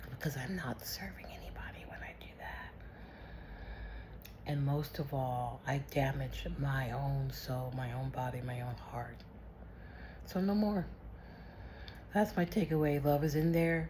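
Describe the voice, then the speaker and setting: A woman speaks at a fairly slow pace with long, frequent pauses. Audible room echo surrounds her voice. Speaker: vlogger. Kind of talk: personal video diary. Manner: loud; animated.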